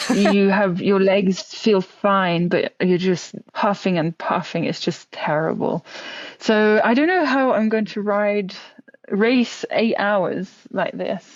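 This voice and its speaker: A woman's medium-pitched voice at a very slow pace, with ordinary pitch variation. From France. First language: French. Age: 20s. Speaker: professional cyclist. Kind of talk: podcast interview.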